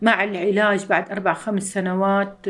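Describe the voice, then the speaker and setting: A woman with a Syrian accent talks at a moderate pace and a medium pitch. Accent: Syrian Levantine Arabic (Homs). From Syria, Homs. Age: 50s. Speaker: refugee mother. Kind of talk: testimony.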